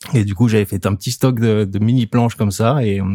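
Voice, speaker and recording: In a very clean recording with a silent background and a dry, close sound with no echo, a man talks at a fairly quick pace in a fairly low pitch, his tone dark and mellow and his intonation fairly even. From French Alps. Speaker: surfboard shaper. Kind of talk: interview. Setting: studio.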